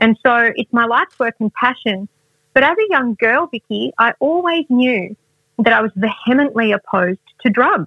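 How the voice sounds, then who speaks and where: A woman with an Australian accent speaks at a moderate pace, her fairly high voice moving in lively intonation. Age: 40s. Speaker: wellness expert and author. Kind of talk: interview.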